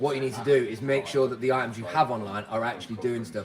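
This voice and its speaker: A man with a British accent speaks amid audible room echo and music in the background. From UK. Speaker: clothing reseller. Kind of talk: live stream chat. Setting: warehouse workplace. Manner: casual.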